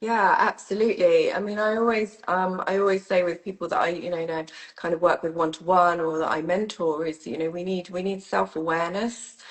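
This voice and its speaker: A woman's fairly low voice at a fairly quick pace, with fairly even intonation and hardly any pauses, amid noticeable background noise. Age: 50s. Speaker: sound healing teacher and mentor. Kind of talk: casual interview chat. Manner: hesitant, many fillers.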